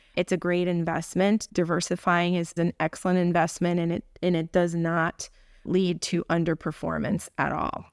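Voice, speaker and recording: A woman with a Spanish accent speaks at a moderate pace in a fairly low, flat monotone, recorded dry and close with no echo against a silent, very clean background. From Puerto Rico. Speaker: urologist. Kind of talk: podcast interview.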